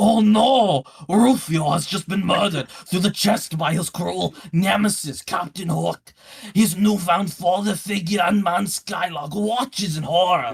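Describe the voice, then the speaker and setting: A put-on character voice delivered in a dramatic tone. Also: man, high pitch for a man, moderate pace. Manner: gravelly, overly dramatic narration.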